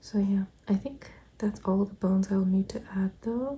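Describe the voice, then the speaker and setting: Going at a fairly slow pace, the voice is soft-spoken. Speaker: vlogger and artist. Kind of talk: casual vlog narration. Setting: at home, family sleeping. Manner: quiet, soft-spoken.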